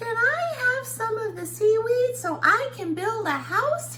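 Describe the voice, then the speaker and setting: In a squeaky, put-on character voice of extremely high pitch, the speaker goes at a fairly slow pace over clear background noise. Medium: read story.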